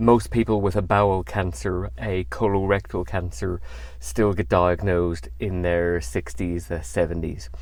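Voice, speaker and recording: Speaking with a British accent at a moderate pace, a man with a very deep, low pitch swings his pitch very widely and shows vocal fry. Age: 40s. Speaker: cancer survivor. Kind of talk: testimony. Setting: in a car. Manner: conversational, with fillers.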